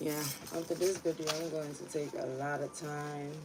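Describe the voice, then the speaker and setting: Someone with a slight Ghanaian accent talks at a moderate pace amid noticeable background noise. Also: woman. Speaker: tarot reader. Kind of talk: casual livestream chat. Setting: livestream at home. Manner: casual, profane.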